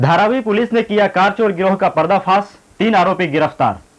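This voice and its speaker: A man speaks with ordinary pitch variation. Behind him, music plays. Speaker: news anchor. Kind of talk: TV news bulletin read.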